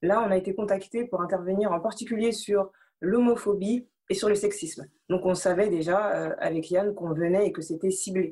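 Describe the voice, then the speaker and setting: Her tone is dark and mellow. This woman's pitch moves in an ordinary way. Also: medium pitch for a woman, moderate pace. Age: 20s. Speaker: anti-bullying association volunteer. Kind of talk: interview. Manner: halting, many repetitions.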